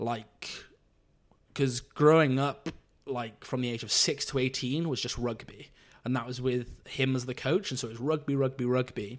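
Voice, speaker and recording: On a very clean recording with a silent background, a man with a South Welsh accent speaks at a moderate pace in a medium pitch with fairly even intonation. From South Wales, Monmouthshire (Abergavenny). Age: 20s. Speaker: computer programmer sharing coming-out story. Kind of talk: casual interview.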